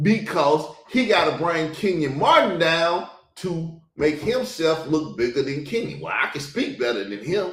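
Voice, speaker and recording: A man with a fairly high pitch and vocal fry talks at a fairly slow pace with very wide pitch swings, and audible room echo surrounds him. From US South. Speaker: podcast host. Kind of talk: reaction commentary. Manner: animated.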